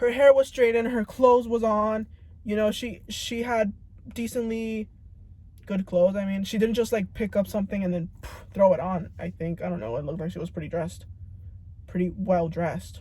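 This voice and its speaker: Mumbling at a fairly quick pace, a woman speaks with a dark, mellow, somewhat breathy tone at medium pitch, with ordinary pitch variation and big swings in loudness. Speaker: vlogger. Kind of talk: casual monologue. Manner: stuttering, mumbling; halting.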